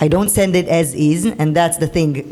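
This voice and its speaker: A woman's fairly low voice with fairly even intonation over noticeable background noise. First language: not English. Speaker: creative director and editor. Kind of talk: panel discussion. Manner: halting, repeats words.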